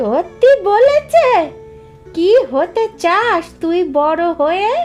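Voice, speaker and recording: A cartoonish character voice from a woman, extremely high-pitched with very wide pitch swings, very slow, over clear background music. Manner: gentle, warm.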